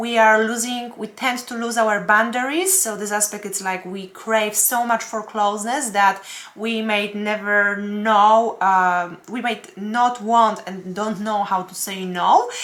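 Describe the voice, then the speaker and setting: Over noticeable background noise, a woman with a non-native accent speaks fairly slowly at a fairly high pitch, with fairly even intonation, big swings in loudness and hardly any pauses. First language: not English. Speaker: astrologer and tarot reader. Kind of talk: weekly horoscope forecast. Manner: halting, many fillers.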